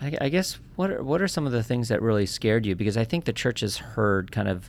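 With lively intonation and medium pitch, a man uses an ordinary speaking voice. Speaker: podcast host. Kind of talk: interview. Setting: studio.

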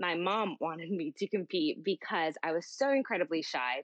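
A woman's medium-pitched voice with lively intonation and a moderate pace. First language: Spanish. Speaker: pageant titleholder. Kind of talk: casual interview.

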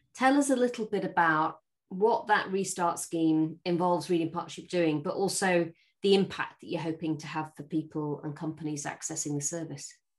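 An unremarkable speaking voice at a moderate pace with ordinary pitch variation. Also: woman, fairly low pitch for a woman, big swings in loudness. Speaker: podcast host. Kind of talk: interview conversation.

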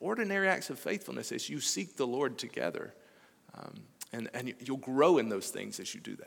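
On a very clean recording with a silent background, a man with an American accent talks at a fairly quick pace with big swings in loudness. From US South, Alabama. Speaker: missionary preacher. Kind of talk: sermon.

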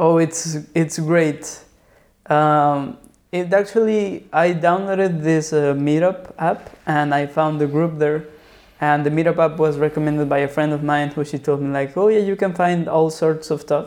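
A man speaks in a Spanish accent at a fairly slow pace. His pitch is fairly high, and his intonation stays fairly even. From Mexico City. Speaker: writer and filmmaker. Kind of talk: casual interview.

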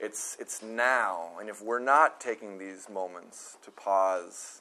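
This man talks at a medium pitch. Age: 30s. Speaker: pastor. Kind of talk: sermon. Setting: outdoors. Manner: casual.

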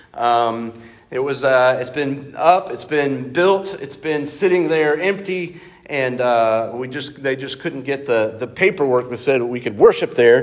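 Room echo and noticeable background noise surround a man speaking at a fairly slow pace. His pitch is fairly high, with ordinary variation. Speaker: pastor. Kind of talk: sermon. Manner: loud, projecting; halting, many fillers. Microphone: no microphone, unamplified.

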